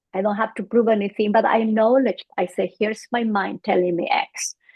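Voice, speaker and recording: A woman speaks at a moderate pace with a Bolivian accent. Her fairly high voice stays monotone and flat. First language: Spanish. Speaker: psychologist. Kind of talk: interview.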